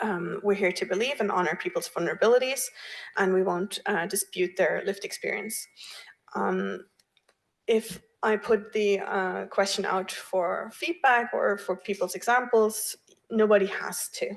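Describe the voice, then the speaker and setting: This woman has a German accent. She talks at a moderate speed. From Germany. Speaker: workshop facilitator. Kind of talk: workshop presentation. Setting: room with audience and online. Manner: hesitant, many fillers.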